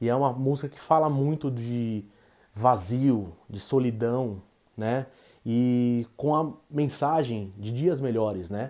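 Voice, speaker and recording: Very slow delivery in a dark, mellow tone with ordinary pitch variation. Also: man, medium pitch for a man. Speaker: documentary director. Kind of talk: remote interview.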